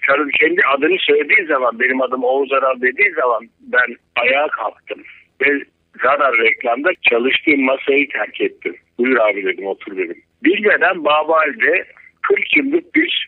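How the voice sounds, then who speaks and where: A man speaks fairly slowly. Nothing much is heard behind him. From Turkey. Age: 60s. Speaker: cartoonist; interview guest. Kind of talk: casual interview. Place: studio.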